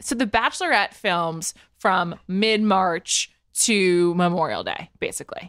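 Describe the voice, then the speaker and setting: A woman with an unremarkable speaking voice talks at medium pitch and a fairly slow pace, with ordinary pitch variation. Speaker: pop culture podcaster. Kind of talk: casual chat.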